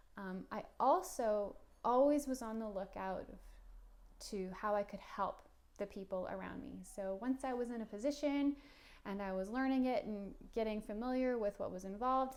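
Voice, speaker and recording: A woman with a normal speaking voice keeps a moderate pace, her fairly high pitch showing ordinary pitch variation. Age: 30s. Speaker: career advice vlogger. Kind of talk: casual monologue.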